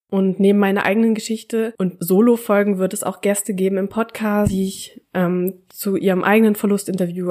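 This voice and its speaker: A woman's dark, mellow tone at a moderate pace. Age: 20s. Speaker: podcast host, student. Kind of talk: personal monologue.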